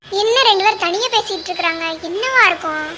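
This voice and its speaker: A woman uses a cartoonish character voice at an extremely high pitch, moving at a moderate pace. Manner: sharp, scolding.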